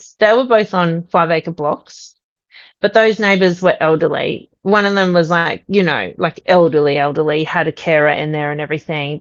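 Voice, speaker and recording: This woman has an Australian accent and a fairly low pitch. She talks at a moderate pace with ordinary pitch variation. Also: quiet background. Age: 40s. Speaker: podcast guest sharing a paranormal experience. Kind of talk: interview testimony.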